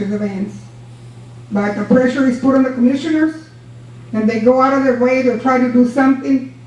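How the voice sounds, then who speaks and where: Loud and very fast, a woman with a high voice and an American accent keeps a fairly even intonation amid audible room echo and noticeable background noise. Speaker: former county judge. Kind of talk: public comment at county meeting. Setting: county commissioners' court meeting. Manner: forceful.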